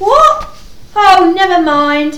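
In a put-on character voice, a woman speaks slowly at an extremely high pitch, with big pitch swings, a fairly bright tone and audible room echo.

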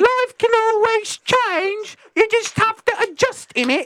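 A woman's squeaky, put-on character voice in a British accent, extremely high in pitch and fairly slow in pace.

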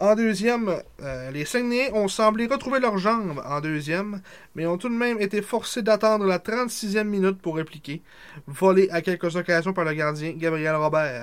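A man with a high-pitched voice speaks at a fairly slow pace in a very clean recording with a silent background. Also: lively intonation. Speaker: sports podcast co-host. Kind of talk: casual chat; reading aloud.

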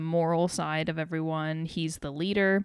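A woman's fairly low-pitched, unremarkable speaking voice with fairly even intonation, very cleanly recorded against a silent background. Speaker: podcast host. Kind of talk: casual chat. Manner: casual, laughs often.

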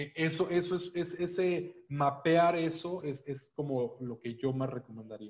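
With hardly any pauses, a man talks at a fairly slow pace, his pitch fairly high and varying in an ordinary way. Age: 30s. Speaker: fintech association executive. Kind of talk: interview. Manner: halting, many repetitions and fillers.

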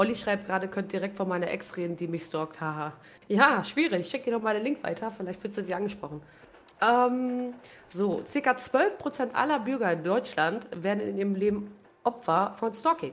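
This woman has an unremarkable speaking voice at a medium pitch. Her intonation is lively and her pace moderate. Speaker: podcast host and streamer. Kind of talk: casual chat, live stream.

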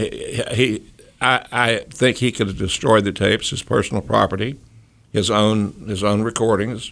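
A man with an Appalachian accent talks at a moderate pace, his fairly low pitch held in fairly even intonation. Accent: Appalachian Southern US. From North Carolina mountains (Boone). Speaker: former politician and lawyer. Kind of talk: radio interview.

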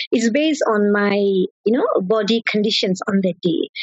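A woman's voice comes across as somewhat breathy. Her intonation is lively. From Malaysia. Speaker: national record-holding runner. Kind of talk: interview, casual chat.

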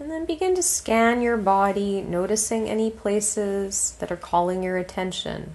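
A woman speaks with a plain, everyday voice at medium pitch. Her pitch varies in an ordinary way, and she hardly pauses. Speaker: meditation guide. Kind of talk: guided relaxation meditation, spoken as gentle instructions. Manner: slow, calm, soothing, with long pauses between phrases; soft-spoken and steady, giving gentle cues to breathe.

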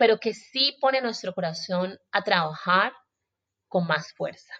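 Sounding dry and close with no echo, a woman speaks in a medium pitch with a bright, sharp tone and lively intonation. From Colombia, Buenaventura (Pacific coast, Valle del Cauca). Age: 20s. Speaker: podcast host and journalist. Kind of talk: solo podcast monologue. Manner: warm.

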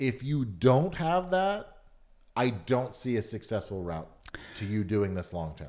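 Speaking at a fairly slow pace in an American accent, a man of medium pitch makes very wide pitch swings. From Atlanta, US South. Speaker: stand-up comedian. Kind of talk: casual chat.

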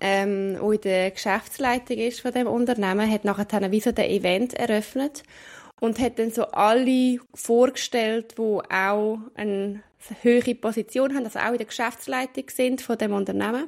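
A woman with a fairly high voice talks at a fairly slow pace in a calm tone with fairly even intonation, on a very clean recording with a silent background. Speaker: podcast co-host. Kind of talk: casual chat.

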